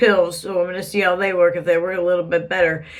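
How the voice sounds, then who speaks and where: A woman's monotone, flat delivery with audible room echo. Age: 40s. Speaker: vlogger. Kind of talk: casual vlog. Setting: bathroom at home. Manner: chatty.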